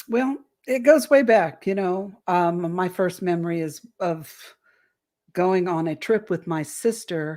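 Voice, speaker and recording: On a very clean recording with a silent background, a woman with an ordinary speaking voice and a medium pitch speaks at a fairly slow pace with lively intonation. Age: 60s. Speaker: alien abduction experiencer and author. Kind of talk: interview testimony.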